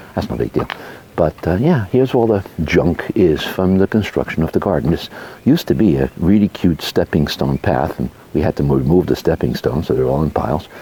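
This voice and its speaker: With noticeable background noise behind him, a man with a very deep, low pitch speaks at a fairly quick pace and with lively intonation. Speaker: homeowner vlogger. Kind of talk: casual walkthrough vlog. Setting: outdoors. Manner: soft-spoken; hesitant, many fillers.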